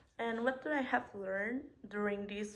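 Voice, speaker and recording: A woman talks with a Spanish accent. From Mexico. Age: 20s. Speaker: hospitality student. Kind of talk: self-introduction presentation.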